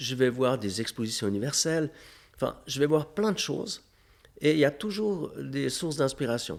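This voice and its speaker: Using lively intonation, a man talks at a moderate pace in a fairly high pitch. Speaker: festival founder and mayor. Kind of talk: interview. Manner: hesitant, many fillers.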